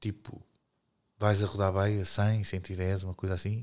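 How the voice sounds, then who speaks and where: In a European Portuguese accent, a man speaks fairly slowly at a fairly low pitch with a dark, mellow tone, on a very clean recording with a silent background. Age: 40s. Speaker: podcast co-host. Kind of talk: casual chat.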